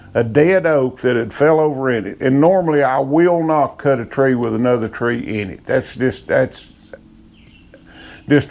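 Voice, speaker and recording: Speaking at a medium pitch, a man talks in an Appalachian accent. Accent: Appalachian Southern US. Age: 60s. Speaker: sawmill operator. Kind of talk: casual storytelling monologue.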